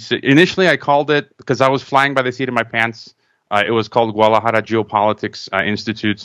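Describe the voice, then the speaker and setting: Fairly even in intonation, a man talks at a very fast pace. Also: very clean recording, silent background. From Chicago, Croatian immigrant family. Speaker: podcast host and producer. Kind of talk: interview conversation. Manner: repetitive, stammering restarts.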